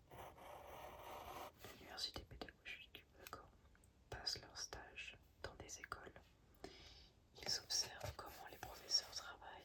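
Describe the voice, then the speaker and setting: Noticeable background noise sits behind the recording. In it, a woman whispers, her pace fairly slow. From France. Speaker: ASMR creator. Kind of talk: ASMR reading of language textbook. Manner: soft-spoken.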